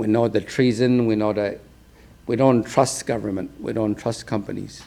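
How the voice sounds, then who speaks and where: A man speaks at a moderate pace and a medium pitch. His tone is dark and mellow, with monotone, flat intonation. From Tsilhqot'in First Nation, interior British Columbia, Canada. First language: Tsilhqot'in (Chilcotin). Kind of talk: symposium talk.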